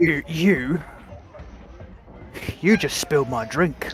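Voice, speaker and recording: The speaker uses a put-on character voice at a very slow pace. Music plays clearly in the background. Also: man, fairly high pitch for a man. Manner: angry, confrontational.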